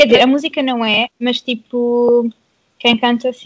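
In a dry, close sound with no echo, a woman's high voice carries fairly even intonation. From Portugal, Pombal. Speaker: podcast guest. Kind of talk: casual chat.

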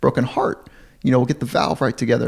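A man with an American accent talks at medium pitch with vocal fry. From Southern California. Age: 40s. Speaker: sports psychologist. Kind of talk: interview conversation.

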